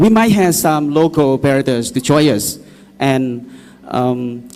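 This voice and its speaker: A man with lively intonation and a Vietnamese accent. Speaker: EV taxi company representative. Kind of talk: public consultation presentation. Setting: public hall meeting. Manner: halting.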